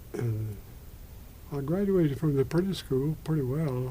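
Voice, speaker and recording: This man's voice is somewhat breathy, with a dark, mellow tone. Audible room echo surrounds it. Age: 80s+. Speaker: retired Methodist minister. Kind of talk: oral history interview. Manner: halting.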